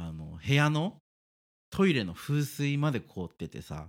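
Speaking at a fairly slow pace, a man with a medium-pitched voice makes very wide pitch swings. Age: 30s. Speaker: podcast co-host. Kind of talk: casual chat.

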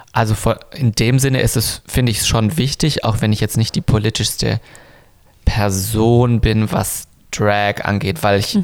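A man with a plain, everyday voice speaks fairly low and fairly slowly, with very even loudness and ordinary pitch variation. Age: 30s. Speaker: drag queen. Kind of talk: casual chat.

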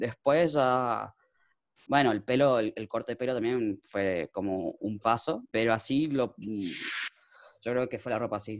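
A man at a medium pitch speaks with fairly even intonation over a quiet background, in a normal speaking voice. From Argentina, Chaco. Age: 20s. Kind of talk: interview.

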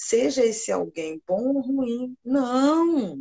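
A somewhat breathy woman's voice with very wide pitch swings, dry and close with no echo. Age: 40s. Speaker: nurse technician and jiu-jitsu teacher. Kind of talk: live stream interview.

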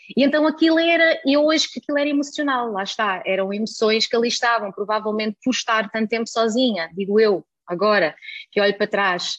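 A woman's ordinary speaking voice, fairly high in pitch, with lively intonation and a fairly quick pace. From Germany. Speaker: holistic nutrition coach. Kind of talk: casual chat.

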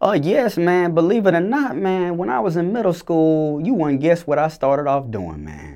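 A man with an Atlanta accent talks at a moderate pace and a fairly high pitch. His voice makes very wide pitch swings over a quiet background. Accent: Southern US, Atlanta. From US South, Clayton County, metro Atlanta, Georgia. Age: young. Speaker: recording artist and producer. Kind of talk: interview. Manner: halting, many fillers.

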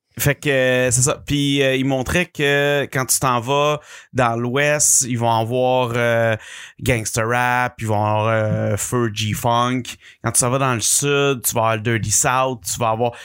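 Here a man talks very slowly at a medium pitch, with fairly even intonation. The recording is very clean, with a silent background. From Quebec City. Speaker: podcast co-host. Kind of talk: casual chat. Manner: loud.

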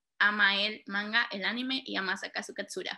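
At a moderate pace, a woman speaks in a bright, sharp tone with ordinary pitch variation. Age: 30s. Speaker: preschool and primary teacher. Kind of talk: casual chat.

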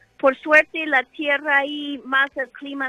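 This woman has a high voice and an English accent. She speaks at a fairly slow pace. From United States. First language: English (speaking Spanish). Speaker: wine sales manager. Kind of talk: interview. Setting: phone call. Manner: hesitant.

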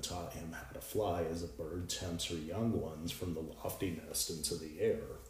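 A man's very deep, low, dark and mellow voice, somewhat breathy and dramatic in tone, with ordinary pitch variation at a moderate pace. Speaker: podcast host. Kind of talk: mythic narration read aloud from the story, solemn storytelling; podcast monologue, reflective talk. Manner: measured, dramatic, reading-aloud cadence with emotional weight; fluent but with frequent filler 'um' pauses.

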